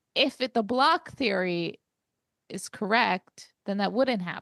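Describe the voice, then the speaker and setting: Very slowly, a woman speaks with lively intonation and a fairly high pitch. The recording is dry and close, with no echo. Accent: New York. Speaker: podcast co-host. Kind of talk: casual book discussion.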